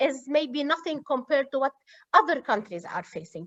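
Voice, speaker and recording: In an Arabic accent, a woman speaks at a high pitch with lively intonation. The sound is dry and close, with no echo. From Lebanon. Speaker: university student affairs administrator. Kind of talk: interview. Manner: halting.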